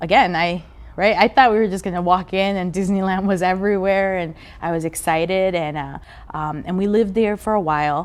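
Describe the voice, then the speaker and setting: At a moderate pace with ordinary pitch variation, the speech comes through on a very clean recording with a silent background. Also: woman. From Mexico, raised in Southern California and Las Vegas. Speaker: immigrant activist. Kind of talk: interview testimony. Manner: halting, many fillers and repeats.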